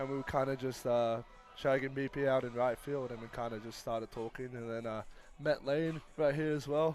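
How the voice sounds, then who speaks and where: An Australian accent at a fairly quick pace with fairly even intonation, music playing in the background. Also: man, medium pitch for a man. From Australia, Sydney. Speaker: college baseball pitcher. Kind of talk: live broadcast interview.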